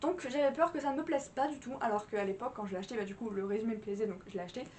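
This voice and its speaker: A woman's high voice with lively intonation. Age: 20s. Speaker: book vlogger. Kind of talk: casual vlog review. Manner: animated.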